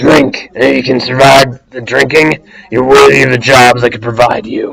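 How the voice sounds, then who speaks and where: A man's put-on character voice, raspy and medium-pitched, moderately paced. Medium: actual play. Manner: gruff, rude.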